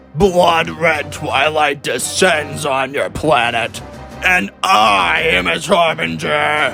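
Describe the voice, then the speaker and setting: Over clear music in the background, a man puts on a character voice with a fairly high pitch at a very slow pace. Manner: shouting, menacing.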